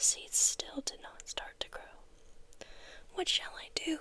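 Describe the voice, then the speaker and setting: Whispering at a very slow pace, a voice comes through noticeable background noise. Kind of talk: children's story reading. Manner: whispered.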